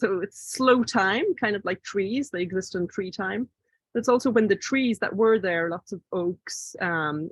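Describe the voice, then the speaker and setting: A woman with an Irish accent, medium pitch, fairly slow delivery, quiet background. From Ireland, Ardee (County Louth). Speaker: visual artist and author. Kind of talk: book talk presentation. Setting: video call. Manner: halting.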